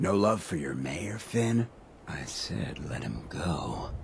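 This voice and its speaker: Putting on a character voice, a man speaks very slowly in a very deep, low, raspy register with very wide pitch swings. Background noise is clearly present. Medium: video game. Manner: laid-back, smooth.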